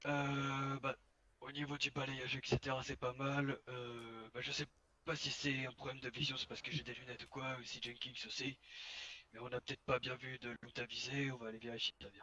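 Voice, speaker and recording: Using a put-on character voice, a man speaks at a moderate pace in a raspy, medium-pitched tone with monotone, flat intonation. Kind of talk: police role-play training talk. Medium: game stream. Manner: instructive, measured.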